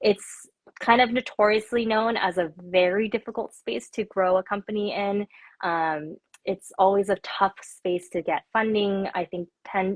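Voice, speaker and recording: In a General American accent, a woman with a normal speaking voice and medium pitch speaks at a fairly slow pace with fairly even intonation. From Korea until seven, then US. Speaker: tech company founder. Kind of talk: interview. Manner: casual, many filler words.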